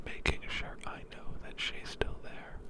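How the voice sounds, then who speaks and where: Someone is whispering at a fairly slow pace. Background noise is noticeable. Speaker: ASMR creator. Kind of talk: whispered ASMR ramble. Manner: whispered.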